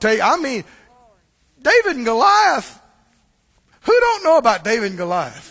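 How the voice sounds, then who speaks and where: Speaking in a Mississippi accent at a moderate pace, the voice makes very wide pitch swings and big swings in loudness, with long, frequent pauses. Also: man, extremely high pitch for a man. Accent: US Southern (Mississippi). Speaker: pastor. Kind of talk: sermon. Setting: church.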